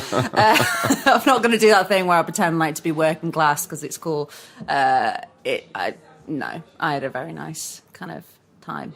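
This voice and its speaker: This woman has a fairly low pitch and lively intonation, with big swings in loudness. Noticeable background noise is present. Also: moderate pace. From northern England, Lancashire (Preston area). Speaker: actress. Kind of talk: casual interview chat. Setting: basement of a cafe. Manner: animated, energetic.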